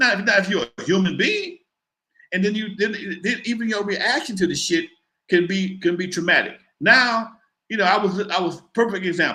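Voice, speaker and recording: High in pitch, a man uses a raised, projected voice with a bright, sharp tone. His pitch variation is ordinary. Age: 60s. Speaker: hip hop pioneer and talk show host. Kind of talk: casual interview chat. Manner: loud; fast, animated.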